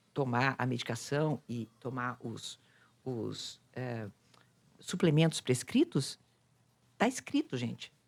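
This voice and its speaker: A woman's voice on a very clean recording, silent behind her, with a dry, close sound and no echo. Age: 60s. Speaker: psychologist and influencer. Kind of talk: casual chat.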